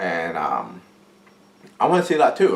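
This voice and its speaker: In an American accent, a man talks at a fairly slow pace. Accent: deaf speech. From Pittsburgh, Pennsylvania, US. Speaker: vlogger, film student. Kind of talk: casual vlog monologue. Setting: at home in his apartment.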